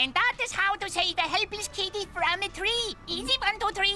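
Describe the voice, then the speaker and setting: A put-on character voice at an extremely high pitch and moderate pace, over clear music in the background. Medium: voice reel. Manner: grandiose, third-person.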